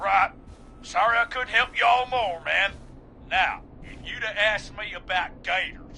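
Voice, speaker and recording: A man drawls in a put-on character voice with a high pitch at a moderate pace. His loudness swings widely, and background noise is clearly heard. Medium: game stream. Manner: casual, drawling, says "man" a lot.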